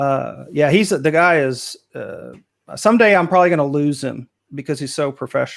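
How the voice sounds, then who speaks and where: A fairly high-pitched man talks with ordinary pitch variation and a moderate pace, on a very clean recording with a silent background. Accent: Texas. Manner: casual, many filler words.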